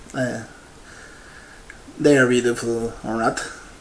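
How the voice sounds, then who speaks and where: Against noticeable background noise, a man talks with an Argentine accent. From Argentina. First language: Spanish. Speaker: paleontologist. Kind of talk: conference keynote talk. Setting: virtual congress presentation. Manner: halting, many fillers.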